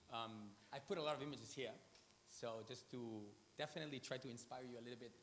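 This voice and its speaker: A man speaks in a Spanish accent at a medium pitch with ordinary pitch variation. His pace is fairly quick, and there is audible room echo. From Spain, Madrid. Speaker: artist and designer. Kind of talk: conference talk. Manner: hesitant, many fillers.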